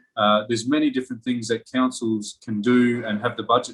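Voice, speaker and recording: At a fairly quick pace, a man with an Australian accent and medium pitch speaks with fairly even intonation. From Darwin, Australia. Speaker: author and campaigner. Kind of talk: interview answer.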